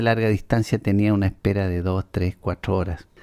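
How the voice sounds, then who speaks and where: A man with a fairly low pitch and a dark, mellow tone speaks in monotone, flat intonation, with a dry, close sound, no echo, and a very clean recording with a silent background. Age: 60s. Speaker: podcast host, writer. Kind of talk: personal opinion monologue.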